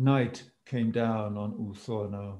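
Dark, mellow tone from a man, slightly breathy. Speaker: reading group organizer; presenter. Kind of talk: reading group discussion. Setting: video call.

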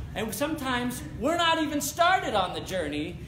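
A man speaks with audible room echo. Light background noise can be heard. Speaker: pastor. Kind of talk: sermon. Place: church.

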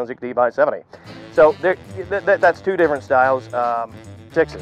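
There is faint music in the background as a man with an American accent talks. The sound is dry, with no echo. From Pennsylvania. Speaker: auctioneer. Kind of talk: interview answer. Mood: relaxed, modest, cheerful. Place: farm. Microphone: lapel.

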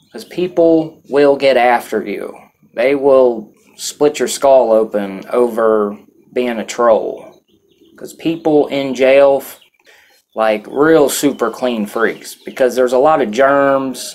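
Speaking very slowly, a man uses ordinary pitch variation. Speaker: vlogger recounting jail experience. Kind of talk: casual vlog chat. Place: home room.

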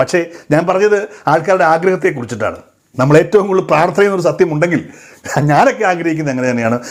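With a normal speaking voice, a man talks at a fairly high pitch with lively intonation. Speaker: social media commentator. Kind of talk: monologue to camera.

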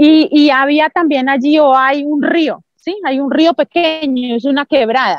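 A woman speaks at a fairly slow pace with a high pitch and ordinary pitch variation, hardly pausing at all. The sound is dry with no echo, over a quiet background. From Colombia, Santander. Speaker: Paralympic athlete; interview guest. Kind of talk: interview testimony. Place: open country. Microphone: video call.

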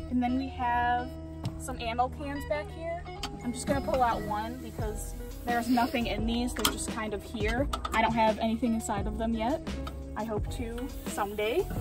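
Clear music plays behind a woman. Her voice sounds dry, with no echo. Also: moderate pace. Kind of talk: casual vlog chat. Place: street.

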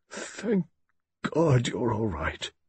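A man speaks in a put-on character voice, gruff and husky with a rough edge and a slightly mellow tone. His pitch swings very widely at a very slow pace. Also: medium pitch for a man.

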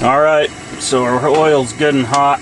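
A man talks at a fairly slow pace with medium pitch and fairly even intonation. His tone is fairly bright, with faint background noise behind him.

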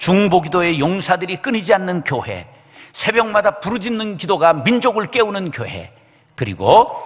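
The speech unfolds at a fairly slow pace over a quiet background. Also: man. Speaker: senior pastor. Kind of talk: sermon. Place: church. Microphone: podium.

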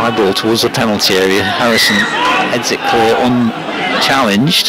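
A man's voice with crowd noise in the background. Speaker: match commentator. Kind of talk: live sports commentary, reading line-ups then calling play. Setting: at the ground, cold afternoon.

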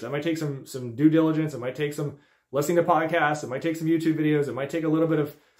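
A man talks very fast against a quiet background. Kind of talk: tutorial. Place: office. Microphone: phone near.

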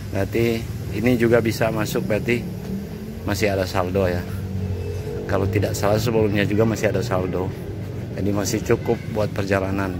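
Music plays in the background. The delivery is fairly quick, and the sound is dry with no echo. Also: man. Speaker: travel vlogger. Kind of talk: casual vlog narration. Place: station. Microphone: phone near.

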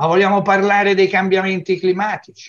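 Against a quiet background, a man with a high voice speaks at a moderate pace. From Tuscany, Lucca. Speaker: geologist. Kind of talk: TV interview. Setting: video call. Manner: halting, repetitive. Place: home room.

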